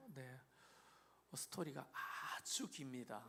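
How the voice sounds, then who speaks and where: Speaking at a fairly slow pace, a man with a Gyeongsang accent has a fairly high pitch. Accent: Gyeongsang dialect accent, noticeable. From Korea, Gyeongju, North Gyeongsang. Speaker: pastor. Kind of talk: interview testimony.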